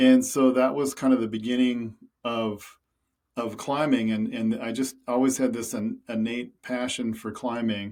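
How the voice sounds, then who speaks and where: With an Upper Midwest accent, a man speaks fairly slowly in a medium pitch and a monotone, flat intonation. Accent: Upper Midwest American. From US Midwest, rural Minnesota. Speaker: climber and conservationist. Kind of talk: podcast interview. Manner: casual, with frequent fillers and repetitions.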